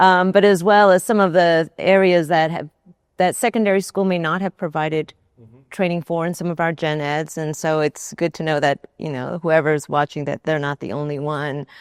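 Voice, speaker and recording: Here is an unremarkable speaking voice from a woman with a fairly low pitch and ordinary pitch variation. She goes at a moderate pace in a dry, close sound with no echo. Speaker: university administrator and interviewer. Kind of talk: interview host.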